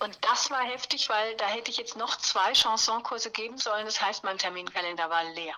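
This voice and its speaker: A woman speaks with hardly any pauses and ordinary pitch variation. Noticeable background noise is present. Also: fairly high pitch for a woman, moderate pace. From southern Palatinate, Germany. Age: 50s. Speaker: cabaret singer and presenter. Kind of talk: interview.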